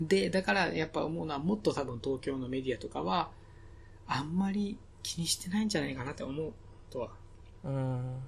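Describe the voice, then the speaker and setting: A man's somewhat breathy voice at a fairly high pitch and fairly quick pace, with very wide pitch swings. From Okinawa, Japan. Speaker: podcast host. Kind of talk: casual chat.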